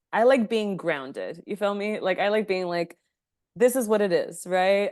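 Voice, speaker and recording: A woman with a Spanish accent at a moderate pace, with ordinary pitch variation and a quiet background. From Los Angeles, US. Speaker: sex coach. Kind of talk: lecture Q&A. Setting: video call. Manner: casual, filler-heavy.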